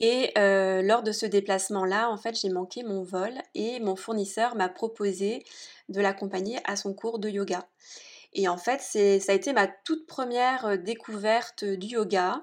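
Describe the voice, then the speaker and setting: A woman's medium-pitched voice at a very slow pace, with ordinary pitch variation, against a quiet background. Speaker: entrepreneur. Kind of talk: interview. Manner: animated.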